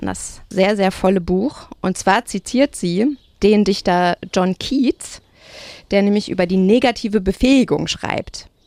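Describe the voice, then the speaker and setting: With a dry, close sound and no echo, a woman uses an ordinary speaking voice at medium pitch. She moves at a fairly slow pace with ordinary pitch variation. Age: 30s. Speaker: writer and critic, podcast host. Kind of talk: literary discussion. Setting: outdoors.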